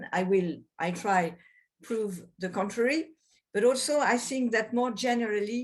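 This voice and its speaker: A woman with a French accent, fairly high in pitch, at a moderate pace with ordinary pitch variation and long, frequent pauses. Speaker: lawyer, former constitutional judge. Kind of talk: webinar presentation. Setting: video webinar. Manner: hesitant, not fully fluent.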